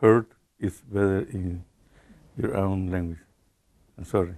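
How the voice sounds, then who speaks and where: With a Spanish accent, a man speaks in a very deep, low pitch and a dark, mellow tone, keeping his intonation fairly even. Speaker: Jesuit priest and human rights defender. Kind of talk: public talk through an interpreter. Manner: halting.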